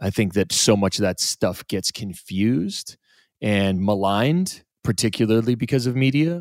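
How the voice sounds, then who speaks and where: Using a normal speaking voice, a man with a fairly low pitch talks at a moderate pace with ordinary pitch variation. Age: 40s. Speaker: podcast and radio host. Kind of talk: casual chat. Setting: studio.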